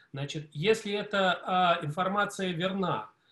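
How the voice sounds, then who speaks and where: A man speaks at a high pitch with ordinary pitch variation. Audible room echo surrounds him. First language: Russian. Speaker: audience member. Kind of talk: audience question. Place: home room. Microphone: video call.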